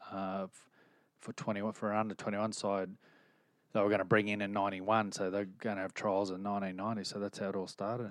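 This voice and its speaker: A man's fairly low, monotone voice in an Australian accent, very fast pace, quiet background. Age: 40s. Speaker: rugby league coach and former player. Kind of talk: casual chat.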